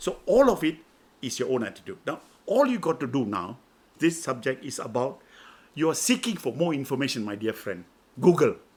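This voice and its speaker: Using vocal fry and a fairly high pitch, a man talks at a fairly quick pace with very wide pitch swings and long, frequent pauses. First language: Chinese. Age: 80s+. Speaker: mentor and business coach. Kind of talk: interview conversation. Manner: halting, repetitive.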